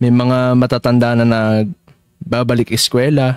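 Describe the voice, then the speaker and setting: A man's voice is captured dry and close with no echo. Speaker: digital artist streaming live. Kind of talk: casual live-stream chat while drawing. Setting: live stream. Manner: loud.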